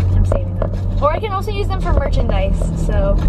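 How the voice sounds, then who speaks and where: The speaker is a woman. Her voice competes with loud background noise. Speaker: vlogger. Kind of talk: casual vlog chat. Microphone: phone near.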